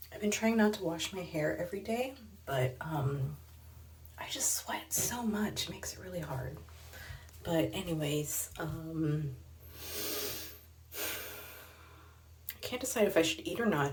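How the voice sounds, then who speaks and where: Soft-spoken and fairly low-pitched, a woman talks at a fairly slow pace with very wide pitch swings and long, frequent pauses, amid audible room echo and noticeable background noise. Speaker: artist and roller derby vlogger. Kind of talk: vlog monologue. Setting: bathroom at night. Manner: hesitant, many fillers; soft-spoken, low. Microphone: too quiet, barely audible.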